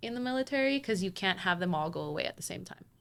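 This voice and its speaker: A woman in a Spanish accent. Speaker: K-pop fan. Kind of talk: casual chat. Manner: hesitant, many fillers.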